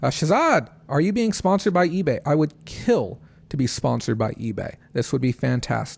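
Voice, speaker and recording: A man talks at a moderate pace in a fairly high voice with vocal fry. His pitch swings very widely. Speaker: online reseller livestreamer. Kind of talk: livestream recap. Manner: mellow.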